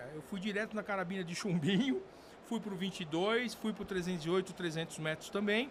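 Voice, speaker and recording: A man's high voice over noticeable background noise. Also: ordinary pitch variation, fairly quick pace. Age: 60s. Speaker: firearms industry executive and former sport shooter. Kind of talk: interview podcast. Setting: recorded at a trade event. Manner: hesitant, many fillers.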